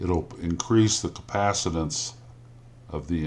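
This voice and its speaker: An Indiana accent at a fairly slow pace with ordinary pitch variation. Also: man. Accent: Indiana drawl. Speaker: amateur radio operator. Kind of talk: technical how-to explanation. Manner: slow, hesitant with fillers.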